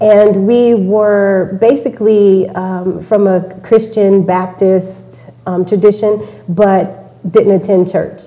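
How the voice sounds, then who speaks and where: Someone speaks very slowly in a Texan accent, with monotone, flat intonation. The recording carries an audible room echo and noticeable background noise. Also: woman, medium pitch for a woman. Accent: Texan American. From Texas. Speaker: interview guest. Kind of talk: interview. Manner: hesitant, many fillers.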